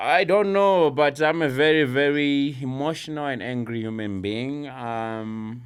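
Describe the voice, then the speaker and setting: With audible room echo, a man talks at a fairly slow pace with hardly any pauses, using lively intonation at a fairly high pitch. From Zimbabwe. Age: 30s. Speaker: mixed martial arts fighter. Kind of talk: casual chat.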